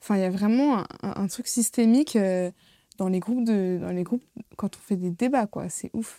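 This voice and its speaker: Her pitch variation is ordinary. This woman's tone is dark and mellow. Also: medium pitch for a woman, moderate pace, very clean recording, silent background. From Seine-et-Marne, France. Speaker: drama student. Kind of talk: casual chat.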